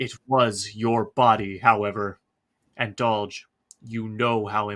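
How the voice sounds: This is a natural reading voice. The background is quiet.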